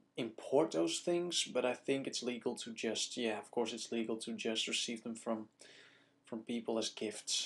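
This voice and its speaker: A man speaks in a Dutch accent at a moderate pace. His medium pitch shows ordinary pitch variation. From Netherlands. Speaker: video blogger. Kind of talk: casual vlog Q&A. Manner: casual, hesitant with fillers.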